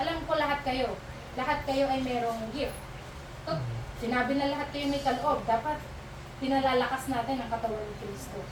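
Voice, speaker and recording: A woman speaks high and at a fairly quick pace with fairly even intonation, yet with long, frequent pauses. There is audible room echo and noticeable background noise. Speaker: fellowship speaker. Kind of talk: sermon.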